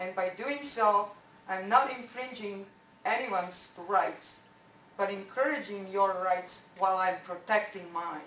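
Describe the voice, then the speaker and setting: A woman with a non-native accent speaks at medium pitch and a fairly slow pace, with ordinary pitch variation. Room echo is audible. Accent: foreign. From born abroad. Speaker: resident speaking at public comment. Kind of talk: public comment at council meeting. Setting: council meeting. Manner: halting.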